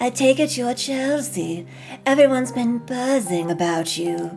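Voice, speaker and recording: Clear music plays behind a female-sounding voice doing a put-on character. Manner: unsettling, overly smooth.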